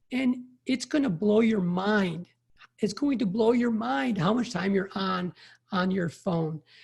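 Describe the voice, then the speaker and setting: With an American accent, a high-pitched man speaks at a fairly slow pace with lively intonation on a very clean recording with a silent background. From Chicago, US Midwest. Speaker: emergency physician and burnout coach. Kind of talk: podcast interview.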